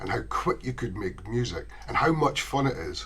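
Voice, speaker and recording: A man with a Scottish accent at a moderate pace. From Scotland. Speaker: ukulele enthusiast. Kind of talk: casual chat.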